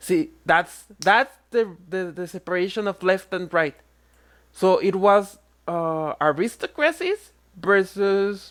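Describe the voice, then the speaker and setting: A woman's medium-pitched voice with a Spanish accent, very slow pace and ordinary pitch variation, on a very clean recording with a silent background. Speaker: online commentator. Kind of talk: reaction rant.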